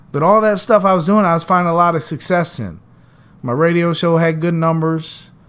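Speaking at a moderate pace, a man with an ordinary speaking voice sits fairly high in pitch and shows ordinary pitch variation. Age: 40s. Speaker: podcast host, former radio host. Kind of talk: solo monologue.

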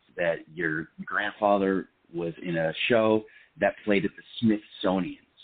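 With an American accent, a man talks at a fairly slow pace in an ordinary speaking voice with a fairly low pitch. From Seattle area, US Pacific Northwest. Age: 30s. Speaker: film actor. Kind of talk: casual interview chat.

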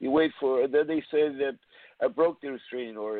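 Fairly high-pitched for a man, he has a normal speaking voice and moves at a fairly quick pace. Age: 60s. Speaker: caller, parent. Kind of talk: phone-in story. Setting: phone call.

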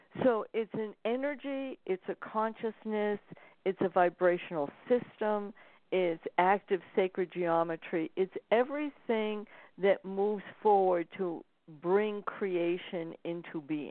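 Very slowly, a woman speaks at a medium pitch with ordinary pitch variation. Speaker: spiritual author and intuitive reader. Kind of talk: interview conversation.

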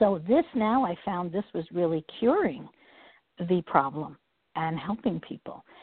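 A normal speaking voice carries lively intonation at a moderate speed. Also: woman. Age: 60s. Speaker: energy healer and spiritual teacher. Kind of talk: interview. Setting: phone call.

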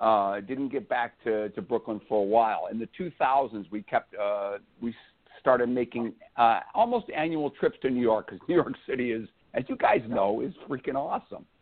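With an American accent, a man talks at a moderate pace and a medium pitch, his intonation lively. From Illinois. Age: 50s. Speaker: baseball fan. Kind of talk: casual chat. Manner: upbeat, enthusiastic.

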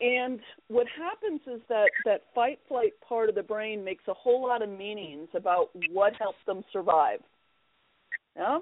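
A normal speaking voice from a woman, fairly high in pitch, at a fairly slow pace with lively intonation. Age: 50s. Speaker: Episcopal priest and NLP practitioner. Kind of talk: interview.

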